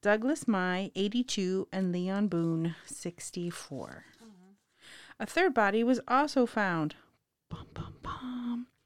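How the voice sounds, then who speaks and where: In a very clean recording with a silent background, a woman speaks at a very slow pace with a medium pitch and lively intonation. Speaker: true crime podcast co-host. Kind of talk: casual chat.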